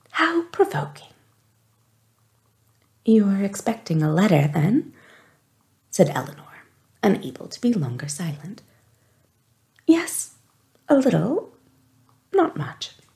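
A soft-spoken voice with long, frequent pauses over a quiet background. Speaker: audiobook reader. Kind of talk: read-aloud narration of a novel. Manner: soft-spoken, hushed ASMR reading voice.

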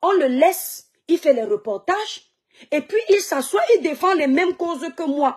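The voice swings very widely in pitch over a quiet background. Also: woman. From Cameroon, Kribi/Douala; Cameroon. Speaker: social media live streamer and online seller; social commentator. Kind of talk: live stream monologue. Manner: animated. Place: home room. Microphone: phone near.

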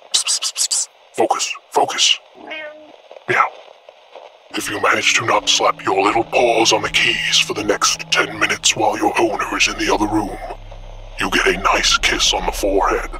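The voice is a put-on character voice. It moves at a moderate pace. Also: man. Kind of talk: comedy meme dub.

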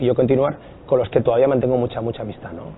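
Some light background noise is present. The voice belongs to a man. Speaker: guest. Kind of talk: interview answer. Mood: relaxed, nostalgic. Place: studio. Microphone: lapel.

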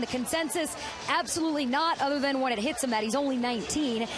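Music plays behind a woman talking very fast. Her voice is high-pitched, with ordinary pitch variation. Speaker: sideline reporter. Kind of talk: news reporting.

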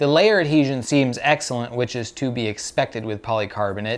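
A man's delivery moves at a fairly quick pace, and his pitch varies in an ordinary way. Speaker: maker reviewing 3D printing material. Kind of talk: tutorial. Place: home room.

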